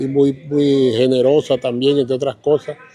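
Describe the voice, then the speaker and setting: With noticeable background noise behind him, a man speaks at a fairly slow pace, fairly high in pitch and monotone, flat in intonation. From Colombia, Caribbean coast (Riohacha, La Guajira). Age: 70s. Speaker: local elder sharing memories. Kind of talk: interview, reminiscing. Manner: halting, with repeated words.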